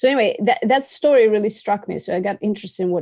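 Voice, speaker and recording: A woman's dark, mellow voice with a Russian accent, dry and close with no echo, over a quiet background. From Russia, Moscow. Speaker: filmmaker. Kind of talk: interview.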